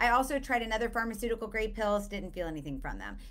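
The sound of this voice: A woman speaks fast at a fairly high pitch, with big swings in her pitch.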